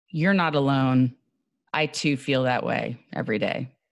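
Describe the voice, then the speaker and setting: A woman with an American accent speaks at a very slow pace, her pitch very deep and low with vocal fry. The recording is very clean, with a silent background. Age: 40s. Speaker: actor and voiceover artist. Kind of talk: interview chat.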